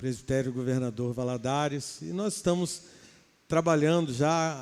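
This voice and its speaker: This man has a fairly high pitch with ordinary pitch variation. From Rio de Janeiro, Baixada Fluminense. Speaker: pastor. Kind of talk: sermon. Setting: church.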